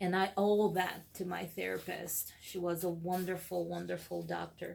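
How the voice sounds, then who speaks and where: A woman with a Brazilian accent speaks at a moderate pace. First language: Portuguese. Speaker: counseling student. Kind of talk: video blog for homework. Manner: hesitant with fillers.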